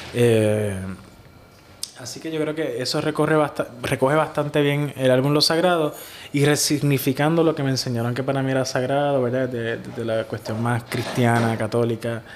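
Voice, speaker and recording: Noticeable background noise sits behind a man with a medium pitch. He keeps a moderate pace and fairly even intonation. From Puerto Rico (Ciales). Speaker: singer-songwriter. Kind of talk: casual interview. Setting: hostel room.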